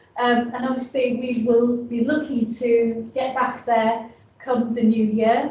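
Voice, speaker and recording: A woman's high-pitched voice with a Yorkshire accent, fairly slow in pace, with audible room echo. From northern England, Yorkshire. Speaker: business support advisor. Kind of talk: presentation. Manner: halting, many fillers.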